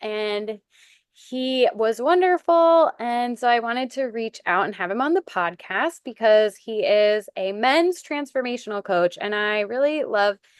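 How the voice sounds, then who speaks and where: Against a quiet background, a woman with a plain, everyday voice speaks at a fairly high pitch with lively intonation. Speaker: podcast host. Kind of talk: podcast intro.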